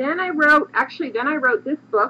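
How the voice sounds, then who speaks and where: A woman projects her voice loudly while noticeable noise sounds in the background. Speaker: craft book author and designer. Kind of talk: tutorial. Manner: fast.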